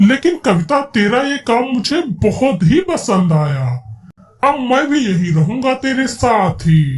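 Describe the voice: In a cartoonish character voice, the speaker uses a fairly high pitch and a fairly slow pace.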